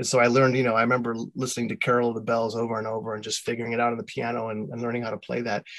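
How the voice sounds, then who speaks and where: A man speaks at a very fast pace with hardly any pauses, his medium-pitched voice flat and monotone. Noticeable background noise runs underneath. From US Midwest (Michigan and rural Ohio). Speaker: composer and music editor. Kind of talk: casual interview.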